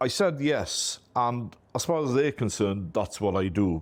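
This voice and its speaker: In a strong Welsh accent, a man talks at a fairly slow pace in a very clean recording with a silent background. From Wales. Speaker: IT company owner. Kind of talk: interview. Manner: talkative, easy flow.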